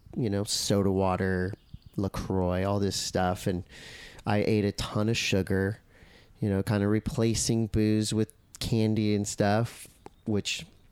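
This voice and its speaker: A man's fairly low-pitched, monotone voice with flat intonation, very even loudness and a fairly slow pace, in a dry, close sound with no echo. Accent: Southern California. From US West Coast, Encinitas, California. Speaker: surf commentator and former pro surfer. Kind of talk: casual chat.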